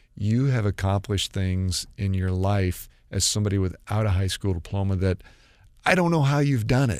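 Recorded very cleanly against a silent background, a man speaks at a moderate pace in a plain, everyday voice, fairly low-pitched with ordinary pitch variation. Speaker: school superintendent. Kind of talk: casual chat. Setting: studio.

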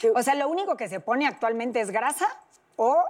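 Pitched fairly high, a woman talks at a very fast pace with lively intonation. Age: 30s. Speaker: plastic surgeon. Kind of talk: interview, expert explanation.

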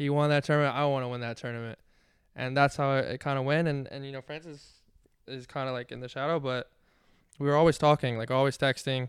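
A man with an American accent talks at a very fast pace in a flat, monotone delivery, his pitch fairly high for a man and his loudness swinging widely, on a very clean recording with a silent background. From Washington D.C. area. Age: 20s. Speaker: professional tennis player. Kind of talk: casual interview. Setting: live on location at a tennis club.

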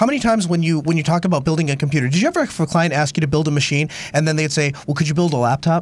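Over noticeable background noise, a man with a fairly high pitch talks at a very fast pace with hardly any pauses and very even loudness. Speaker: podcast co-host. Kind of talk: casual tech podcast chat. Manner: tired, rambling.

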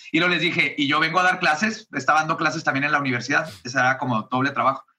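A man talks in a bright, sharp tone. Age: 30s. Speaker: comedian and podcast host. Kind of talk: casual interview chat.

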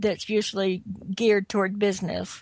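In a plain, everyday voice, a woman speaks at a medium pitch with ordinary pitch variation. The sound is dry and close with no echo, and the background is quiet. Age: 60s. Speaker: film producer and entrepreneur. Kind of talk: interview.

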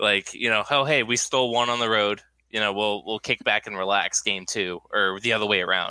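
A man with a bright, sharp tone and a fairly low pitch speaks with fairly even intonation in a very clean recording with a silent background and a dry, close sound with no echo. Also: fairly quick pace. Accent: American. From New Hampshire. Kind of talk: casual chat.

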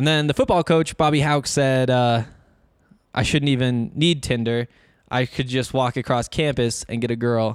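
A man with a Montana accent, medium-pitched, at a moderate pace, fairly even intonation, dry close sound with no echo. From Northwest Montana. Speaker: sports podcast host. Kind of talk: casual solo podcast talk. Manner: halting, many fillers and false starts.

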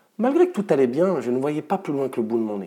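The recording is very clean and the background silent. Over it comes a man's voice, dark and mellow in tone. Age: 30s. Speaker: mental performance coach. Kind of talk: scripted narration.

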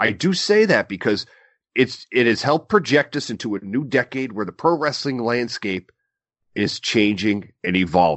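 An animated man at medium pitch, moderate pace and lively intonation. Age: 30s. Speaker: wrestling podcast co-host. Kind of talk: casual chat.

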